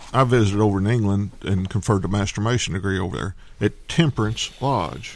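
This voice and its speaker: In a very clean recording with a silent background, a man with a normal speaking voice talks at a fairly quick pace, his fairly low pitch showing ordinary variation. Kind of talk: casual banter.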